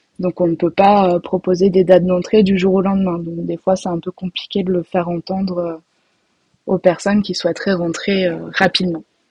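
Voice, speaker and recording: A woman talks at a moderate pace in a flat monotone. Her medium-pitched voice is somewhat breathy. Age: 20s. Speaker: rental department employee. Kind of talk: casual interview.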